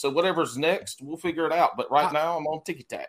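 A man with a Southern US accent. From US South, South Carolina. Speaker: podcast host. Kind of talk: casual chat.

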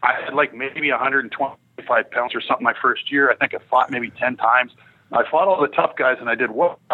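Speaking fairly quickly, a man uses an unremarkable speaking voice at medium pitch with ordinary pitch variation. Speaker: former hockey enforcer and pro scout. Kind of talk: casual interview. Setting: phone call.

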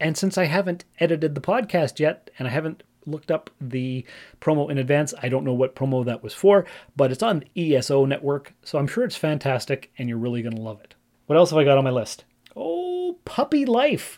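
A normal speaking voice from a man with a Canadian accent, fairly high-pitched, at a fairly quick pace with big swings in loudness. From Ontario, Canada. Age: 40s. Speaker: podcast host. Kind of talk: casual solo monologue.

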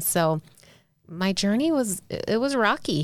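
Her accent is American, and her pitch varies in an ordinary way. The woman's recording is very clean, the background silent. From US South (South Carolina), Navy family moving around. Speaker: public speaker and author. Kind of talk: interview, personal recovery story. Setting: studio.

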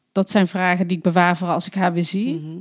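Recorded with a dry, close sound and no echo, a woman talks. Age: 30s. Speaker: podcast co-host, adoptee. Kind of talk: casual conversation. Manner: hesitant, many fillers.

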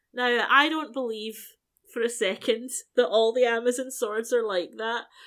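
Speaking with a British accent at a fairly slow pace, this voice shows ordinary pitch variation on a very clean recording with a silent background. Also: woman. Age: 40s. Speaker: podcast co-host. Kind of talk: casual chat.

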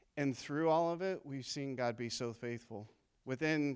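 The recording is very clean, with a silent background. A man with an ordinary speaking voice talks at a moderate pace. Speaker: church member sharing testimony. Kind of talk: testimony. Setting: church with congregation.

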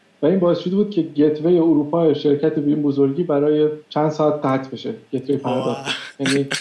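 A man talks with an ordinary speaking voice, fairly high in pitch. His intonation stays fairly even and his pace is fairly quick. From Iran. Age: 30s. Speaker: software engineer. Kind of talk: interview.

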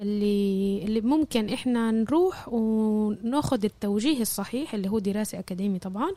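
At a moderate pace, a woman with a fairly high pitch and ordinary pitch variation uses a plain, everyday voice. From Jaffa. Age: 20s. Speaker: university student. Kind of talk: interview.

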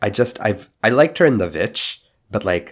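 A man is speaking. His voice sits fairly low. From Indian family background. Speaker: podcast co-host. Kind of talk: casual chat.

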